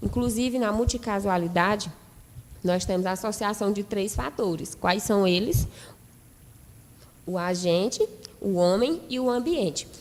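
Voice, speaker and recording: The speaker moves at a fairly slow pace with ordinary pitch variation and long, frequent pauses. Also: woman, medium pitch for a woman. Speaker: nursing lecturer. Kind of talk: lecture.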